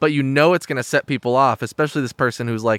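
Someone speaks at a very fast pace in a very clean recording with a silent background. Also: man, dry, close sound with no echo. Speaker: podcast host. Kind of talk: casual interview chat.

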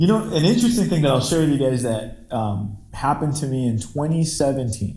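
With lively intonation, a man speaks at a fairly high pitch in a somewhat breathy voice with a dark, mellow tone. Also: moderate pace. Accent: American. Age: 30s. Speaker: podcast host, former band singer. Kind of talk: casual chat. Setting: remote call.

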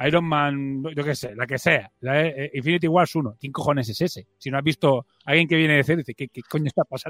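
A man with an unremarkable speaking voice, fairly high pitch, ordinary pitch variation and a fairly quick pace with hardly any pauses, in a dry, close sound with no echo. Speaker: podcast host. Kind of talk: casual chat.

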